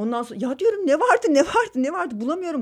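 Her pitch swings very widely as this woman talks. The recording is very clean, with a silent background. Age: 30s. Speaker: film director. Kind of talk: casual interview. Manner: halting, many fillers.

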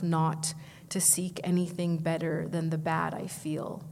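A woman at fairly low pitch with monotone, flat intonation, somewhat breathy, at a fairly slow pace. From Vancouver, Canada. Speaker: poet. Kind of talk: poetry reading; panel discussion. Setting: stage with audience.

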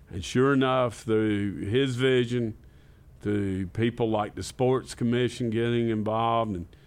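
In a Southern US accent, a man speaks at a fairly slow pace. His voice is medium in pitch with fairly even intonation. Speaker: parks and recreation director.

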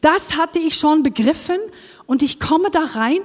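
In a Norwegian accent, a woman talks with lively intonation. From Norway. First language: Norwegian (speaking German). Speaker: worship team member. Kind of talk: sermon. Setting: church.

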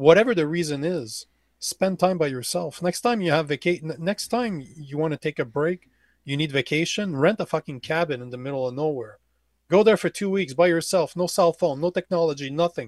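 With a quiet background and a dry, close sound with no echo, a man speaks at a fairly quick pace, his fairly high pitch moving with ordinary variation. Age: 40s. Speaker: men's coach and podcast host. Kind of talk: casual chat. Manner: animated.

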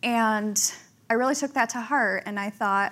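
The recording is very clean, with a silent background. A woman with an ordinary speaking voice talks at a moderate pace and fairly high pitch, with ordinary pitch variation. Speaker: magazine editor. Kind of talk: casual panel chat. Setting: stage with audience.

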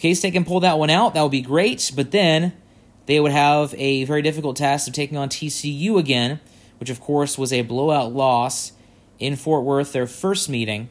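He is a man with a fairly high pitch and a normal speaking voice. His pace is moderate, with ordinary pitch variation. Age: 20s. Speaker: sports podcaster. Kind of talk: solo sports commentary.

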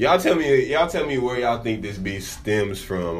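Noticeable background noise sits behind a man with an American accent. He talks at a fairly quick pace with very wide pitch swings. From Dallas, Texas. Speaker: podcast host.

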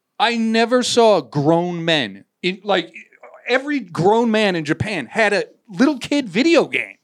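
A man with a high pitch speaks in an animated tone at a fairly slow pace, his voice making very wide pitch swings. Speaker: podcast host. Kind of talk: casual chat.

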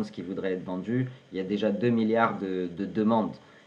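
A man talks at a fairly slow pace. His pitch is fairly low, with fairly even intonation. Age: 30s. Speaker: podcast host. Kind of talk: interview.

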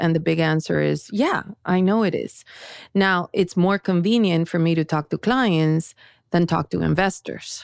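In a very clean recording with a silent background and a dry, close sound with no echo, a woman speaks at a moderate pace with a fairly low pitch and ordinary pitch variation. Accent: Spanish. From Colombia. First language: Spanish. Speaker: tech company founder and CEO. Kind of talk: interview.

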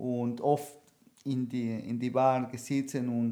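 A man with a Spanish accent speaks very slowly at a medium pitch, his dark, mellow tone held in a flat, monotone delivery. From Argentina, Buenos Aires. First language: Spanish (speaking German). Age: 40s. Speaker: professional cook and DJ. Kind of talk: casual chat. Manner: halting.

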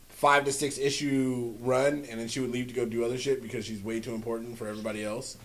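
There is audible room echo. It surrounds a man's speech. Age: 30s. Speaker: comic book podcast host. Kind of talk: casual chat.

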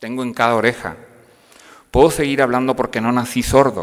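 Speaking at a moderate pace, a man with a medium-pitched voice keeps his intonation fairly even. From northern Mexico, Piedras Negras, Coahuila (border town). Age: 50s. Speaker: university professor and lay speaker. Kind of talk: parish talk to parents.

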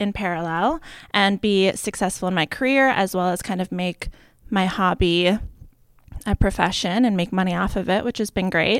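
With an American accent, a woman speaks in a plain, everyday voice at a fairly slow pace. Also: very clean recording, silent background. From Boston. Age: 30s. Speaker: business consultant and style blogger. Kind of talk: interview.

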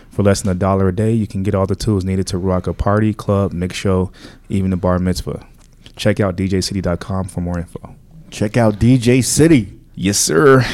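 A man with a plain, everyday voice speaks at a moderate pace, his pitch fairly low with ordinary pitch variation. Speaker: podcast host. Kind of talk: casual chat.

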